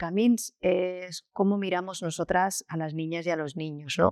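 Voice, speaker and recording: Speaking at a very slow pace, a woman has a medium pitch and ordinary pitch variation, with a dry, close sound and no echo. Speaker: school founder. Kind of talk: interview.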